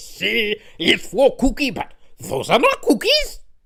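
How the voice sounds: A gruff, put-on character voice at a fairly slow pace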